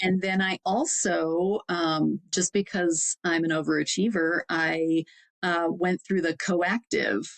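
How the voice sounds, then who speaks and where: A woman with a Wisconsin accent speaks at a fairly low pitch and a very slow pace. Her intonation is fairly even and her loudness very even. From Wisconsin, Fond du Lac. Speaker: executive coach. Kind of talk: interview conversation.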